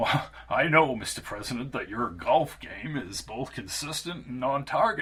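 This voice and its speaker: Using a put-on character voice at a medium pitch, a man talks with hardly any pauses. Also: moderate pace. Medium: read story. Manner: bubbly, charming, well-timed.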